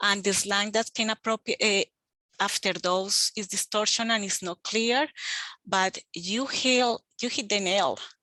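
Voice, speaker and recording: A woman with a Spanish accent speaks at a fairly slow pace, her pitch medium and her intonation fairly even. The sound is dry and close with no echo, over a quiet background. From Colombia, Bogota. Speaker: extension agent. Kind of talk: group discussion in online meeting.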